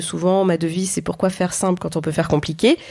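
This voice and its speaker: Speaking very fast, a woman holds a medium pitch. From France, Auvergne (Clermont-Ferrand). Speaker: entrepreneur and ghostwriter. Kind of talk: interview conversation. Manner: hesitant, frequent fillers.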